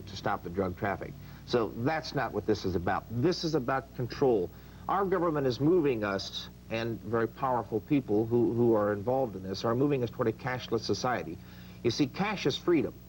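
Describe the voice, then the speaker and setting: This man's medium-pitched voice carries vocal fry. His intonation is lively and his pace fairly quick. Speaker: book author being interviewed. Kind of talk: interview answer, book promotion.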